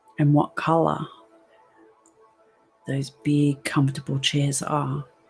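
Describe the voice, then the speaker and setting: A woman's very deep, low voice, soothing in tone, flat and monotone, very slow, with music in the background. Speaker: hypnotherapist. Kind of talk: guided hypnosis session. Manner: slow, soothing.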